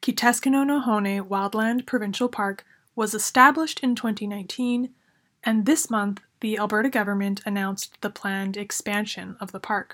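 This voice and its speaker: A woman speaks in a plain, everyday voice at a moderate pace. The recording is very clean, with a silent background. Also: fairly high pitch for a woman, ordinary pitch variation. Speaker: news segment reporter. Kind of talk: scripted radio news report. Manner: formal, steady, informative.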